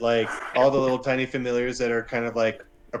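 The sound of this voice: This is an unforced reading voice. The text comes across in an unforced reading voice.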